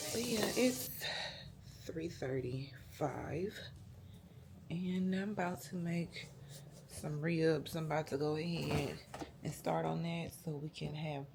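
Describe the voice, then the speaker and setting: With audible room echo, a woman with a very deep, low pitch speaks somewhat breathily at a very slow pace, with ordinary pitch variation and long, frequent pauses. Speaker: family vlogger. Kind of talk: casual vlog narration. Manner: whispering, soft.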